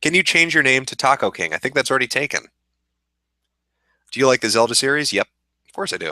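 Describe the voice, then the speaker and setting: A man talks very fast with lively intonation, a bright, sharp tone and vocal fry, leaving long, frequent pauses. The recording is very clean with a silent background and a dry, close sound with no echo. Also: medium pitch for a man. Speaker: streamer. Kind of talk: casual chat. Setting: live stream.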